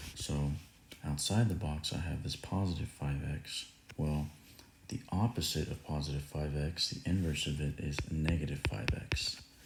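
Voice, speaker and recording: At a moderate pace, a man with a very deep, low pitch speaks somewhat breathily, with ordinary pitch variation. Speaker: math teacher. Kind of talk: tutorial.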